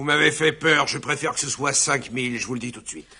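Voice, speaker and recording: In a raspy, put-on character voice, a man at medium pitch talks at a fairly quick pace with big swings in loudness. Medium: fan dub. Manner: dry, sarcastic.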